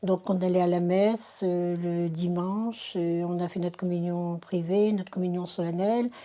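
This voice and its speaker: In a dark, mellow tone, a woman speaks at a fairly slow pace with monotone, flat intonation. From northern France, Dunkirk area. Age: 60s. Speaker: convert giving testimony. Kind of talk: testimony. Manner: halting, many hesitations.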